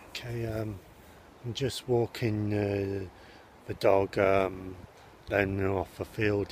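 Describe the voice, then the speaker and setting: Over light background noise, a man speaks very slowly at a fairly low pitch, somewhat breathy with fairly even intonation, the sound dry with no echo. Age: 40s. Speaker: vlogger. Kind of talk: casual vlog talk to camera. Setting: outdoors. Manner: hesitant, many filler sounds. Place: open country. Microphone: phone near.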